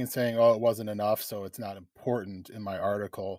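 At a fairly quick pace, the speech is dry and close with no echo, on a very clean recording with a silent background. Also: man. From Wisconsin, Chippewa Valley. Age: 40s. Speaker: rural political organizer. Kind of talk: interview.

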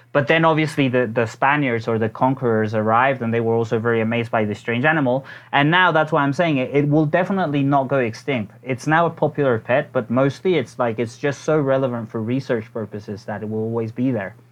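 Very fast male speech in a medium pitch, with hardly any pauses and ordinary pitch variation. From Mexico City. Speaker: brewery founder. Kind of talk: casual interview. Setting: phone call. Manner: hesitant, filler words.

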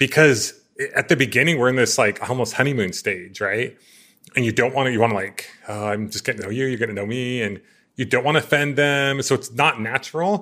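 A man speaks at a fairly quick pace in a bright, sharp, energetic tone. His pitch varies in an ordinary way. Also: medium pitch for a man. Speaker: podcast host and entrepreneur. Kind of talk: interview conversation. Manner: loud.

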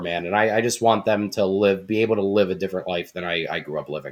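A man talks in an ordinary speaking voice, fairly low in pitch, with ordinary pitch variation. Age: 30s. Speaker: mobile auto mechanic. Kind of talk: casual chat.

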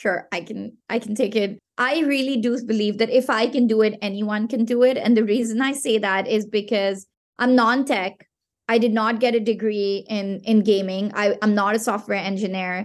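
A fairly high-pitched woman at a moderate pace, with a Pashto accent. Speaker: game platform founder. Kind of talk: podcast interview. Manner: animated.

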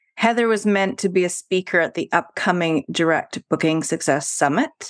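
A woman's fairly low voice with a Canadian accent, a plain, everyday voice, dry and close with no echo, on a very clean recording with a silent background. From Canada, Vancouver. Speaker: podcast host. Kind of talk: interview.

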